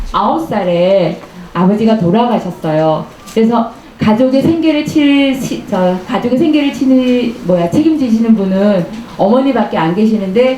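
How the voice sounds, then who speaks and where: A woman's fairly high voice amid noticeable background noise and audible room echo. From Korea, Gangneung (Gangwon east coast). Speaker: author. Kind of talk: book talk storytelling to audience. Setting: bookshop lounge with live audience. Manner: conversational with hesitations and fillers.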